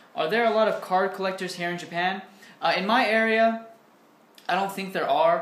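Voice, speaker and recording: A man's voice carries ordinary pitch variation, with audible room echo around it. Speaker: vlogger answering viewer questions. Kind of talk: casual vlog chat. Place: home room. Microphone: webcam.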